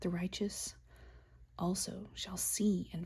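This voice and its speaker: A soft-spoken woman. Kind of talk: soft-spoken Bible reading for sleep. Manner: soft-spoken, relaxing.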